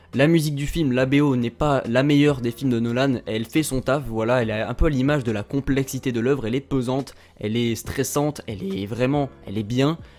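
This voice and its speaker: A man with a Toulouse accent at a medium pitch, fairly quick and with hardly any pauses. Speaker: YouTube film critic. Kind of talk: casual film review. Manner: animated, hesitant with fillers.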